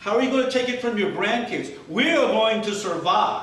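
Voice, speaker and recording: This man's speech carries audible room echo, with noticeable background noise behind it. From Mississippi, US South. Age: old. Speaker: political candidate. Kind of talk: campaign speech.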